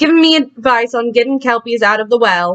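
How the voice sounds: A woman's put-on character voice, growling and high-pitched, at a fairly quick pace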